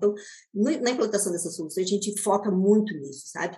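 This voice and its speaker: Somewhat breathy and fairly high-pitched, a woman speaks at a fairly quick pace. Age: 50s. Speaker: education technology executive, former math teacher. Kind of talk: interview.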